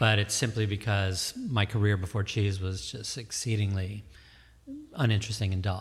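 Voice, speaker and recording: An ordinary speaking voice from a man, fairly low in pitch, at a moderate pace, on a very clean recording with a silent background. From suburban Detroit, Michigan. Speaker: cheese shop and cafe owner. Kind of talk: casual chat. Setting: studio.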